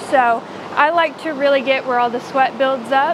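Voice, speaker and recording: A woman speaks at a high pitch and a moderate pace with fairly even intonation. Noticeable background noise runs underneath. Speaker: horse owner vlogger. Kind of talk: casual vlog narration. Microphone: lapel.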